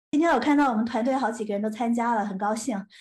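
Recorded very cleanly against a silent background, a woman uses an ordinary speaking voice with a fairly high pitch and ordinary pitch variation. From mainland China, Nanjing then Shenzhen from age 8. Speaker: tech startup founder and CEO. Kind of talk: interview.

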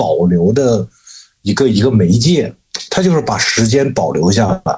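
This man's voice makes very wide pitch swings at a moderate pace while keeping very even loudness. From Shanxi, China. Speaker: tattoo artist. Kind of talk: casual chat.

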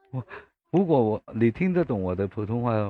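The man's intonation is lively. He speaks at a moderate pace and a medium pitch. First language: Cantonese (speaking Chinese). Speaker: livestream host. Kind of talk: casual chat. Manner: halting.

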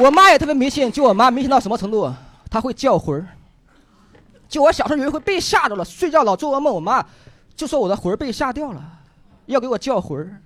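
Over noticeable background noise, a man with an extremely high pitch speaks at a very fast pace with very wide pitch swings and long, frequent pauses. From Henan. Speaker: stand-up comedian. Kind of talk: stand-up.

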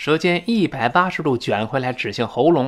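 On a very clean recording with a silent background, a man with a bright, sharp tone speaks at a fairly slow pace with lively intonation. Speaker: English teacher. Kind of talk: lecture. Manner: animated.

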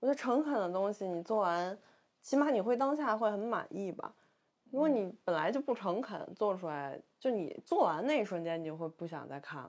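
A woman with a Beijing accent speaks with very wide pitch swings against a quiet background. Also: medium pitch for a woman, fairly quick pace. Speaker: artist. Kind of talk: casual chat.

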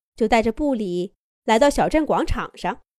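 Fairly high-pitched, slightly mellow woman's voice at a fairly slow pace, with big pitch swings, on a very clean recording with a silent background.

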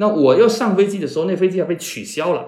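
Audible room echo carries a man's voice, which has vocal fry and moves at a fairly quick pace. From Chaozhou, Guangdong. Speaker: media founder and podcaster. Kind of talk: casual interview conversation. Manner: hesitant with frequent fillers.

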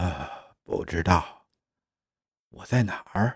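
On a very clean recording with a silent background, a man puts on a character voice with a husky, rough edge, low pitch and lively intonation, speaking at a slow pace.

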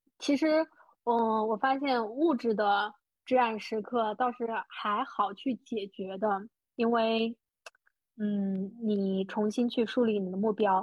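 This woman has a plain, everyday voice with a fairly high pitch. She speaks at a fairly slow pace with fairly even intonation. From small rural county town in China. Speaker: podcast host and money-making coach. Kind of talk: interview.

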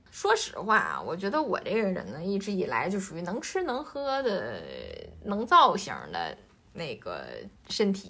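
The pace is fairly slow. Room echo can be heard. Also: woman. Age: 30s. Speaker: podcast co-host, entrepreneur. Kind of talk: casual chat.

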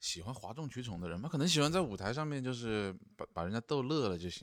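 The recording is very clean, with a silent background. A man speaks at a very fast pace with lively intonation. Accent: Changsha. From Changsha, Hunan. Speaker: stand-up comedian and vlogger. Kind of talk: casual chat. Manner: stammering repetitions.

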